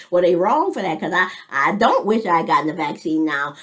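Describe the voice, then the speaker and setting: At a fairly quick pace, a woman talks with very wide pitch swings over noticeable background noise. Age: 50s. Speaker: military veteran and vlogger. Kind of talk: casual monologue vlog. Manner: halting.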